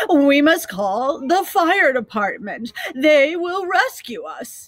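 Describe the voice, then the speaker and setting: This put-on character voice sits high in pitch, swings very widely up and down, and moves at a very slow pace. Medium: read story. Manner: falsely confident.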